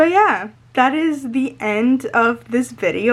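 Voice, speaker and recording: At a fairly slow pace, a woman with a Spanish accent speaks in a high pitch with ordinary pitch variation. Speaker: lifestyle vlogger. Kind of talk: casual chat to camera. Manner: excited, sometimes not fully pronouncing words; halting with fillers.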